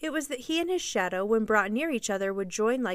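With lively intonation, the passage is read aloud in a natural voice.

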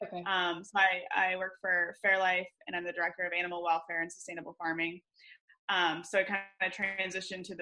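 A woman with a US Midwestern accent speaks at a fairly quick pace in a bright, sharp tone with monotone, flat intonation. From Michigan, US. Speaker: veterinarian. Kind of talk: interview. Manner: halting with many fillers.

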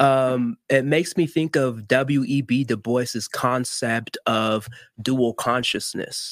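At a very slow pace, a man keeps his loudness very even and his intonation fairly even, speaking at a medium pitch. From Miami, Florida (Haitian family). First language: Haitian Creole. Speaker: marriage and family therapist. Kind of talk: interview.

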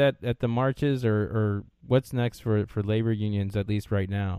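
The speaker is a man with a normal speaking voice, pitched in the middle range. His speed is average. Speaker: podcast host. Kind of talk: casual interview.

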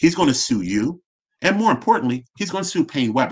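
With an American accent and a plain, everyday voice, a man of medium pitch speaks at a moderate pace with lively intonation. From West Philadelphia. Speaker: financial advisor, company founder. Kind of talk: casual interview.

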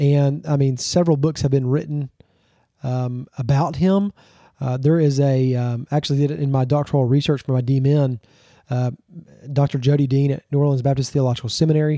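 In a Southern US accent, the voice has a dark, mellow tone, fairly even intonation and a dry, close sound with no echo. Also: man, fairly high pitch for a man, fairly quick pace. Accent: Southern US (Georgia). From Georgia, US South. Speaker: pastor. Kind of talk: casual interview chat.

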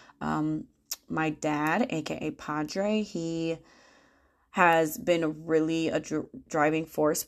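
Against a quiet background, a woman talks at a very deep, low pitch with fairly even intonation. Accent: American. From Michigan, US Midwest. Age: 30s. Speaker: podcast host and money coach. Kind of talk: casual monologue.

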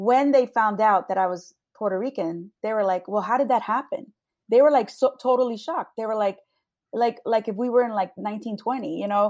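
A woman with an unremarkable speaking voice, fairly high in pitch, at a fairly quick pace with ordinary pitch variation, on a very clean recording with a silent background. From New Jersey, Long Branch. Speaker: police sergeant. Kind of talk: interview. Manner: casual.

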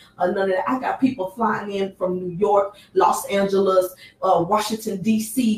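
With an American accent and a medium-pitched voice, a woman talks while noticeable background noise is heard behind her. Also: fairly even intonation, moderate pace. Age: 30s. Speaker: sex trafficking survivor and advocate. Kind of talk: radio interview. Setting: studio.

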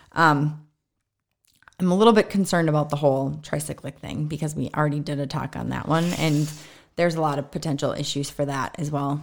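A woman speaks at a fairly quick pace with a very deep, low pitch. The recording is very clean, with a silent background. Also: fairly even intonation. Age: 50s. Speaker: physician and podcast co-host. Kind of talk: casual medical discussion. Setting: basement recording space.

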